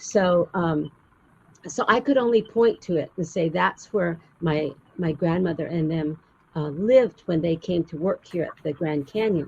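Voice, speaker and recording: The speaker has an American accent and a somewhat breathy sound. The pace is fairly slow, with ordinary pitch variation. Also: woman, fairly low pitch for a woman. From US Southwest, Arizona. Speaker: storyteller. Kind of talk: interview.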